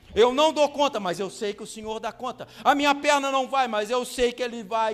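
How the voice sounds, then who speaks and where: A man speaks in an extremely high voice at a moderate pace, with ordinary pitch variation. Music plays in the background. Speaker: pastor. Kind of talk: sermon.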